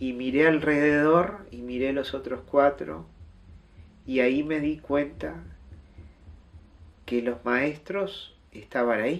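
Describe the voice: A man talks slowly at a fairly high pitch with ordinary pitch variation, and audible room echo surrounds his voice.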